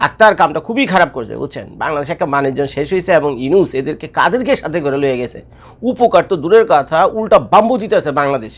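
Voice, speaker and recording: A man with a fairly high voice whose pitch swings very widely. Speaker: YouTube commentator. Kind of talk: casual video commentary.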